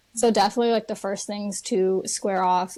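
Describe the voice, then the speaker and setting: A woman's medium-pitched voice with a dark, mellow tone and monotone, flat intonation, in an American accent. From Chicago, US Midwest. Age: 20s. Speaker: financial educator and content creator. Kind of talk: podcast interview.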